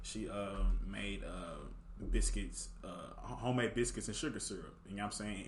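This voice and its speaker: A man with an American accent, with audible room echo around the voice. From Houston, Texas. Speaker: university student. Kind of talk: casual interview. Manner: halting, with frequent repetitions.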